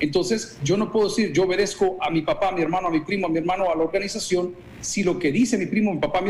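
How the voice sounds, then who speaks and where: Light background noise is present. The speech is very fast, with ordinary pitch variation. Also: man. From El Salvador. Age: 50s. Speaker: pastor. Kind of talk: interview. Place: office. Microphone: video call.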